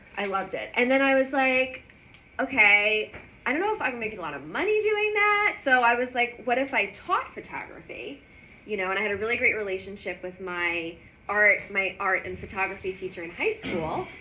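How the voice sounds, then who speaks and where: A woman with a New York accent talks at a fairly quick pace in a fairly high pitch, with an animated tone, lively intonation and audible room echo. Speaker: business founder and guest lecturer. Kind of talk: lecture. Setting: university lecture hall with audience.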